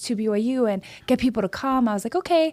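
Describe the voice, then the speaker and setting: A woman speaks at a fairly high pitch with a Hawaiian accent. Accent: Hawaiian American English. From Hawaii (Oahu). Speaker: city council member. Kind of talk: casual chat. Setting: studio. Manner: animated.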